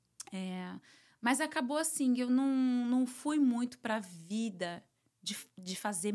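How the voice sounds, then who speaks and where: In a very clean recording with a silent background, a woman with a plain, everyday voice speaks at a fairly slow pace, her fairly high pitch carried by lively intonation. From Brazil. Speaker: psychoanalyst and therapist. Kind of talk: interview, casual chat.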